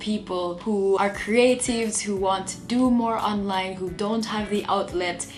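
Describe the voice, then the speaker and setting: Music plays in the background. A woman speaks with fairly even intonation. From Jamaica. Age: 20s. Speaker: YouTuber, motivational speaker. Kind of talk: casual talk to camera.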